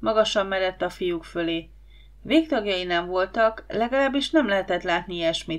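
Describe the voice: The plain reading aloud has lively intonation.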